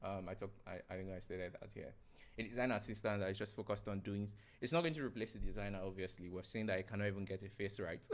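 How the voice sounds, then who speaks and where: Mumbling at a very fast pace, a man with a fairly low pitch speaks with ordinary pitch variation. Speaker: software developer live-streaming. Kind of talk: live coding stream. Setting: live stream. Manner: halting.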